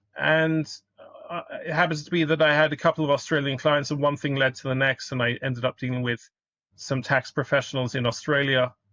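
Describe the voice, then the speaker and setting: Fairly high in pitch, a man talks at a very fast pace. He has a British accent and fairly even intonation. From United Kingdom. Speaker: accountant. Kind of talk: podcast interview. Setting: call.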